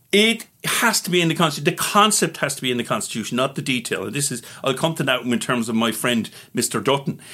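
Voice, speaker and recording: With an Irish accent, the voice races at a very fast pace in a bright, sharp tone with very wide pitch swings. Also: man, fairly high pitch for a man. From Ireland. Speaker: political advocate. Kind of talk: interview. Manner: animated.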